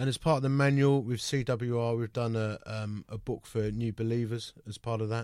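A man with a British accent at a medium pitch, moderate pace with hardly any pauses, and monotone, flat intonation. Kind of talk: radio interview. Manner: conversational.

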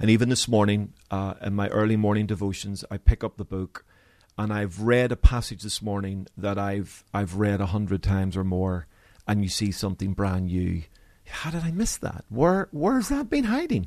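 A man with a slight Belfast accent, fairly low in pitch, at a moderate pace. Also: ordinary pitch variation. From Northern Ireland, Belfast. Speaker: pastor. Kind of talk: interview. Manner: halting.

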